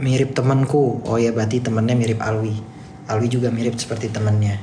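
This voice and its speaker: A man talks at a very fast pace in a monotone, flat intonation with very even loudness. Audible room echo and noticeable background noise surround him. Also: medium pitch for a man. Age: 20s. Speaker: TikTok live streamer. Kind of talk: casual live stream chat reading comments. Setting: office, live stream.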